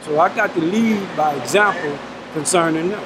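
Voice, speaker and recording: A high-pitched man with an American accent talks with ordinary pitch variation over noticeable background noise. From South Baton Rouge, Louisiana. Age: 60s. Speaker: prison inmate serving life sentence. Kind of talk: interview answer.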